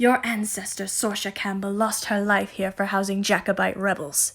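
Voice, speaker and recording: A woman puts on a croaky character voice at a medium pitch, speaking at a moderate pace. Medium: read story. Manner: cryptic, solemn.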